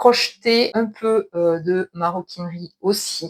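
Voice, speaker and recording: The sound is dry and close, with no echo. A woman speaks at a medium pitch with ordinary pitch variation. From southwestern France (between Toulouse and Castres). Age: 40s. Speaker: knitting and sewing youtuber. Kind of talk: casual video podcast monologue. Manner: hesitant, many filler sounds.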